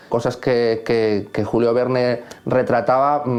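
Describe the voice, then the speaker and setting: Noticeable background noise sits under a man whose medium-pitched voice has monotone, flat intonation. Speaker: composer. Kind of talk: interview answer.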